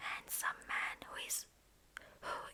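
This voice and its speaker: Whispered speech at a very slow pace, with noticeable background noise. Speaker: ASMR creator. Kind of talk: ASMR book reading. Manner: soft-spoken, whispered.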